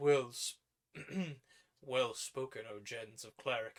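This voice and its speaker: Raspy and at a medium pitch, a man's put-on character voice moves at a fairly slow pace with monotone, flat intonation. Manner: sharp, snapping.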